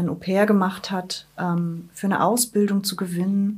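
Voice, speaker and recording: The voice is somewhat breathy and flat in intonation. It moves at a fairly slow pace. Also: woman. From Wismar, Mecklenburg-Vorpommern, northern Germany. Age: 30s. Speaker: head of a migration advice office. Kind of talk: interview. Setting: office.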